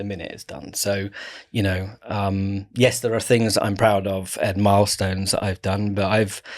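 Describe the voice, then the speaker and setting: Delivered at a moderate pace with fairly even intonation, the speech swings widely in loudness over a silent background in a very clean recording. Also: man. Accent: southern English. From England, Kent. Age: 40s. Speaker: creative director. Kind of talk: casual chat.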